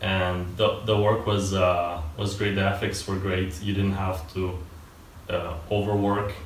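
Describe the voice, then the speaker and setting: The room echo is audible as a man talks at a fairly slow pace. His fairly low voice stays monotone, with flat intonation. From Italy (Turin), born in Moldova. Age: 20s. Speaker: software developer, university dropout. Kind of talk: interview. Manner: hesitant, many fillers.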